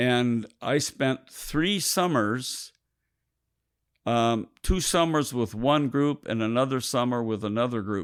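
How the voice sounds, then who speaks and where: Very slowly, a man speaks at medium pitch with ordinary pitch variation on a very clean recording with a silent background. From Minnesota, US Upper Midwest. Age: 80s+. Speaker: retired pastor and seminary teacher. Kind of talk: life story interview. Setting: in a home parlor. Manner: halting.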